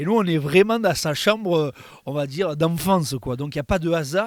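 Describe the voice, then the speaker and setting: A man with a high voice and ordinary pitch variation speaks in a dry, close sound with no echo on a very clean recording with a silent background. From southern France. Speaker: content creator. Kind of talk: interview.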